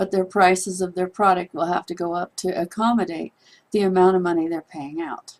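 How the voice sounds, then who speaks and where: In an unremarkable speaking voice, a woman talks at a fairly quick pace with fairly even intonation. The sound is dry and close with no echo. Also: medium pitch for a woman. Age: 60s. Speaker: online business promoter. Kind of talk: persuasive monologue to camera.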